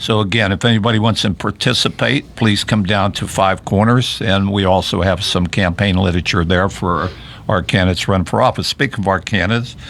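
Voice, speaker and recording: His fairly low pitch carries ordinary pitch variation as a man with a western Pennsylvania accent talks at a fairly quick pace, with hardly any pauses and very even loudness. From Fayette County, southwestern Pennsylvania. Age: 70s. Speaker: local party chairman, radio host. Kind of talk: political talk radio chat. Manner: halting, many restarts.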